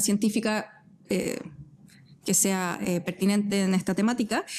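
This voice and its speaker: A woman is speaking. She has a Chilean accent. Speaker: physicist and science communicator. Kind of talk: casual interview chat. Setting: studio at an art centre.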